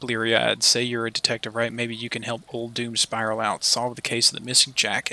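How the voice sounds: This is a natural reading voice. It reads the text through.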